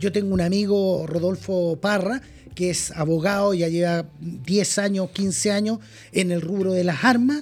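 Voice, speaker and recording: The speech moves at a fairly slow pace in a Chilean accent. Music plays in the background. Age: 50s. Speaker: firearms importer. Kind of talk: casual interview.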